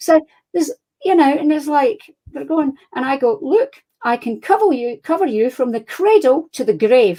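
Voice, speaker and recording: A high-pitched woman with a Scottish accent and a dark, mellow tone, at a moderate pace with very wide pitch swings. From Scotland. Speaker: crime fiction author. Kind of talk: interview. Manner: animated.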